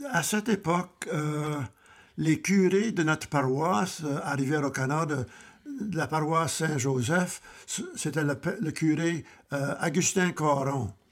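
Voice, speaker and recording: Pausing long and often, a man talks very slowly in a fairly high pitch with ordinary pitch variation. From southwestern Ontario, near Windsor. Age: 90s. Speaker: grandfather, retired civil servant. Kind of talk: family interview. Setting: family cottage. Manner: halting, repeats words.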